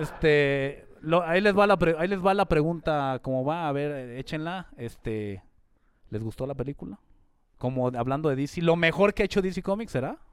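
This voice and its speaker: A man with a Mexican accent speaks at a fairly high pitch with lively intonation. His moderate pace comes through on a very clean recording with a silent background. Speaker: podcast co-host. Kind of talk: casual chat.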